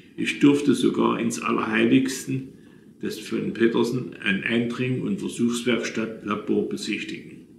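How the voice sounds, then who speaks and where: A man talks at a fairly slow pace. Audible room echo and light background noise surround his voice. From Saxony, Leipzig; Saxony. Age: 80s+. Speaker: retired businessman telling his life story; witness. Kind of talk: reading aloud a written memoir. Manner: halting, with self-corrections. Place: home room. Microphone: phone near.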